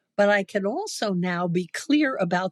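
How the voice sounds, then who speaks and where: Intonation is lively while the pace stays very slow. The sound is dry and close, with no echo. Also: woman. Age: 80s+. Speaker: writer and speaker. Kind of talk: interview answer.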